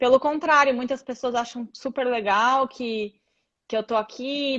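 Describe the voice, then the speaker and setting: A woman's high voice at a fairly slow pace with fairly even intonation. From Brazil. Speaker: physiotherapist. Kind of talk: live video chat.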